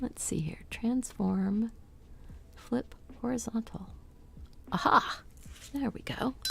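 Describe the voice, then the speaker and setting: Over noticeable background noise, a woman whispers at a very slow pace with long, frequent pauses. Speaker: crafter live-streaming embroidery floss winding. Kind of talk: casual live-stream talk to self. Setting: home studio live stream. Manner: soft-spoken; quiet, unprojected.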